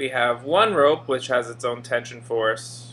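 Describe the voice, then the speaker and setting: Speaking at a very slow pace, a man has a bright, sharp tone with vocal fry. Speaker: physics teacher. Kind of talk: tutorial. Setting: screencast recording.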